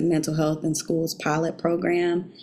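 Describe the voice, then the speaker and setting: Spoken with a Southern US accent, the voice has a dark, mellow tone. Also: woman. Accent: Southern US, says y'all. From South Carolina, Beech Island. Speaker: teacher working in Congress on education policy. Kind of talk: casual interview.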